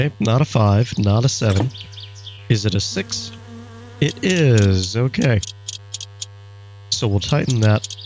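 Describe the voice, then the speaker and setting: A quiet man's voice at medium pitch, fairly slow, with ordinary pitch variation, very even loudness, long, frequent pauses and music in the background. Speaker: YouTube gamer. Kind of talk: let's play commentary. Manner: quieter and careful.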